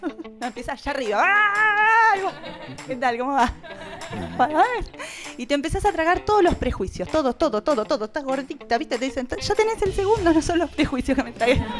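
Against clear music in the background, a woman with an Argentine accent speaks at a moderate pace and a high pitch, making very wide pitch swings and long, frequent pauses. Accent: Argentine Rioplatense. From Buenos Aires, Argentina. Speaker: stand-up comedian. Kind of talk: stand-up comedy monologue. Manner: lively, punchy comic delivery. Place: stage. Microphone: handheld.

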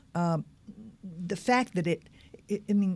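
In a very clean recording with a silent background, a woman with a dark, mellow tone and a somewhat breathy voice talks at a moderate pace with ordinary pitch variation. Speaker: community activist. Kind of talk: interview. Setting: studio.

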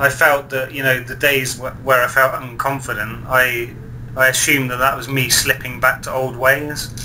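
Amid noticeable background noise, a man with a medium pitch speaks at a moderate pace. His intonation is monotone and flat, yet his loudness swings a lot. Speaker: online video show host. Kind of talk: interview.

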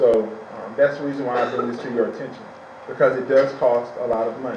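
The speaker goes at a very fast pace in a monotone, flat intonation, with big swings in loudness, noticeable background noise and audible room echo. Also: man, medium pitch for a man. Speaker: school superintendent. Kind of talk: public meeting presentation. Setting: town council meeting.

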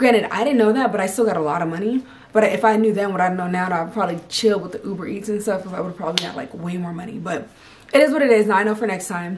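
A woman talks at a very fast pace with an animated tone, ordinary pitch variation and an American accent over light background noise. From California. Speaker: army soldier and vlogger; vlogger. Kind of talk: casual vlog. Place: home room. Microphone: camera far.

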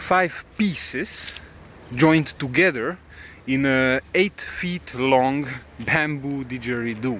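A man's very slow speech with ordinary pitch variation, a dry sound with no echo, and light background noise. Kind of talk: casual vlog narration. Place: garden. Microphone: phone near.

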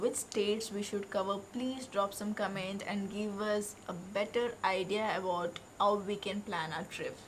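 A woman is speaking. There is light background noise. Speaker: travel vlogger. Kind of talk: casual vlog chat. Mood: cheerful, upbeat. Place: garden. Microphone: phone near.

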